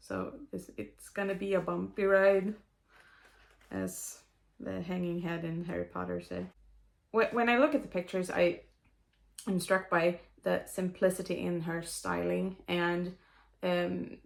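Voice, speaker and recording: A woman with a Swedish accent speaks at a fairly slow pace with long, frequent pauses in a very clean recording with a silent background. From Sweden. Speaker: knitter. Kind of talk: book review talk to camera. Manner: rambling, hesitant.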